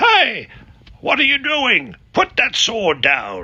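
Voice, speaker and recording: A man in a put-on character voice, extremely high in pitch, at a very slow pace. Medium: read story. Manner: gruff, colloquial.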